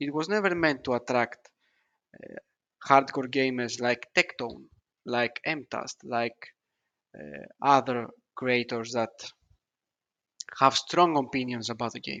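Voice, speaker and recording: In a non-native accent, the speaker goes at a very slow pace with long, frequent pauses. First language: not English. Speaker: gaming video creator. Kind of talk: reaction commentary. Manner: halting, many fillers.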